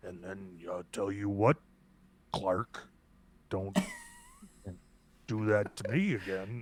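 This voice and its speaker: A man's strained, put-on character voice, fairly low in pitch, at a very slow pace with long, frequent pauses, fairly even intonation and big swings in loudness. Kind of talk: noble, authoritative. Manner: low-key, restrained, warning.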